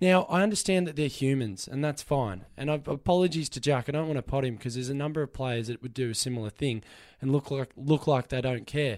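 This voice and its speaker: Very fast, nearly pause-free male speech in an Australian accent, fairly high in pitch with ordinary variation, on a very clean recording with a silent background. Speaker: sports radio host and Melbourne football fan. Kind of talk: angry, passionate rant about his football club letting fans down. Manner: emotional, fired-up, passionate, impassioned and vehement.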